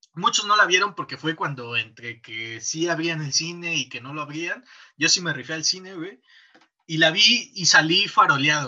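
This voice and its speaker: Bright and sharp in tone, a man speaks at a moderate pace and a high pitch with big swings in loudness. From Mexico, provinces. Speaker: podcast host. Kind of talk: casual chat.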